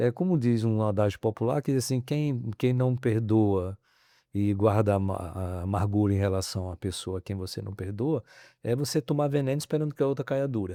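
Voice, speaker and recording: On a very clean, dry recording with no echo and a silent background, a man with a fairly low pitch and a dark, mellow tone speaks at a moderate pace with ordinary pitch variation. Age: 60s. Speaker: professor. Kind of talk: podcast interview. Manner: halting.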